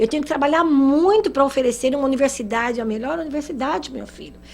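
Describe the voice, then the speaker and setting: Fairly quick, high-pitched speech from a woman. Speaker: spiritist lecturer. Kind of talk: lecture.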